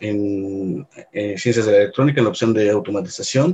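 A man in a central Mexican accent talks at a moderate pace with ordinary pitch variation. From Mexico, Puebla. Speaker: robotics professor. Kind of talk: interview.

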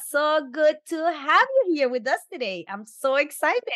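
The speaker is a woman. She talks at a high pitch. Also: fairly bright tone.

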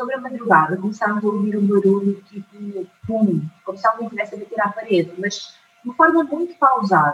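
Her pace is fairly quick, and her intonation is lively. This woman speaks at a medium pitch. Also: hardly any pauses. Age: 30s. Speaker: mind trainer. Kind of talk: testimony. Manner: hesitant, many fillers.

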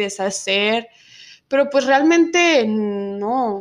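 Lively intonation runs through this woman's speech in a Mexican accent. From Mexico, Zacatecas. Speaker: recent immigrant. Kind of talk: casual chat.

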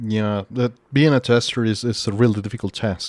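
Fairly quick pace in a normal speaking voice. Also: man. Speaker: livestream host. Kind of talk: casual interview chat. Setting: online livestream.

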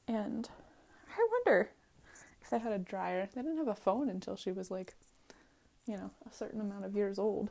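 Using an American accent, a woman with a relaxed, dark, mellow tone and medium pitch speaks at a moderate pace with ordinary pitch variation and long, frequent pauses. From Southwestern Pennsylvania. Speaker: podcaster. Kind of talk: casual monologue while walking. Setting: outdoors. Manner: relaxed, meandering.

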